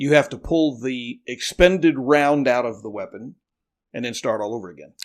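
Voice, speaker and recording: In a very clean recording with a silent background, a man with an ordinary speaking voice talks at a moderate pace and medium pitch, with ordinary pitch variation. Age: 60s. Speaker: navy veteran and firearms owner. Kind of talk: podcast interview.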